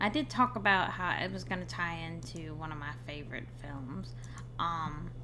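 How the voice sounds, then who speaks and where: A woman at a moderate pace, with big swings in loudness and an audible room echo. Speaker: streamer discussing horror films. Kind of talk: live stream commentary. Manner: casual, thinking aloud.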